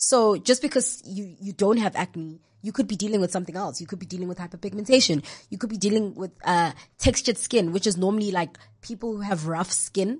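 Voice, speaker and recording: At a fairly quick pace, a woman talks in a somewhat breathy, medium-pitched voice with ordinary pitch variation and big swings in loudness against a quiet background. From South Africa, Mpumalanga (Nelspruit). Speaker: skincare influencer. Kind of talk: casual interview chat.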